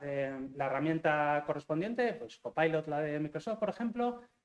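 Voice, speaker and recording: This man's voice sits fairly high for a man, with lively intonation and a moderate pace. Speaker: software engineering manager. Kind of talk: talk to university students. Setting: lecture hall with audience. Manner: hesitant, many fillers.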